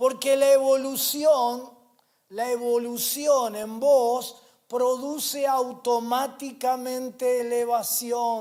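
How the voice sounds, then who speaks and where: A man with a Rioplatense accent speaks at a very slow pace in an extremely high pitch, his flat, monotone delivery carrying audible room echo. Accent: Argentine Rioplatense Spanish. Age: 60s. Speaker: pastor. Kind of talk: sermon. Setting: church. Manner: repetitive emphatic preaching.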